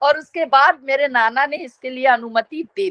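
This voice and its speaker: Speech in a Bihari accent, dry and close with no echo. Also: woman. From Bihar, Bhojpuri region, India. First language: Bhojpuri (speaking Hindi). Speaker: media professor. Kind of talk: interview.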